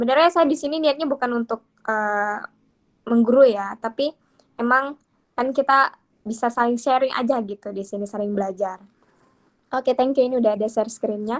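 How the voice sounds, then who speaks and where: A woman talks at a fairly quick pace in a high pitch with ordinary pitch variation, leaving long, frequent pauses. The sound is dry and close, with no echo. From Bengkalis, Riau, Indonesia. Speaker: workshop speaker on pantun poetry. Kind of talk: online workshop talk. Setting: video call. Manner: casual, filler-heavy.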